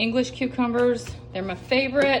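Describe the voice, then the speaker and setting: A woman's speech comes through with noticeable background noise. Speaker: meal prep vlogger. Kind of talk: tutorial. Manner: casual, conversational.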